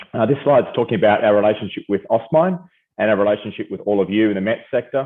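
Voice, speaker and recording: An Australian accent marks this man's speech, pitched fairly low. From Australia, Perth. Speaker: company founder and CEO presenting. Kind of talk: webinar presentation. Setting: video call. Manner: hesitant, many fillers.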